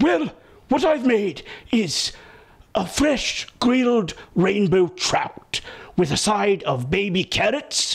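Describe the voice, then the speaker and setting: A man speaks in a cartoonish character voice. His delivery runs at a fairly slow pace. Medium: puppet show. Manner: wordy, fussy, explaining.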